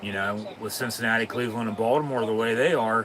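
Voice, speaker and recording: Fairly quick speech from a man of medium pitch with ordinary pitch variation, noticeable background noise and audible room echo. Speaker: sports live-stream host. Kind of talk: casual watch-along commentary.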